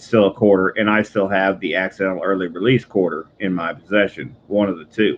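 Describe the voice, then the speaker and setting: A quiet man speaks with a very deep, low pitch. His intonation is monotone and flat. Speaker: coin collecting live streamer. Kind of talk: casual live stream chat. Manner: quiet, subdued.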